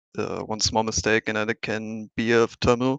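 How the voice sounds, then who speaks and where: The speaker has a German accent and a moderate pace. The sound is dry and close with no echo, over a quiet background. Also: man. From Germany. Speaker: sim racing driver. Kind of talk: post-race interview.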